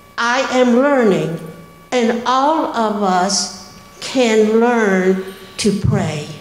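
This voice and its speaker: With an American accent, a woman speaks at a very slow pace in a fairly high pitch, with audible room echo around her voice. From US South. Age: 80s+. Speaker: church member. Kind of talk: testimony. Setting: church. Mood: sincere, gentle, a little emotional. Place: church. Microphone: handheld.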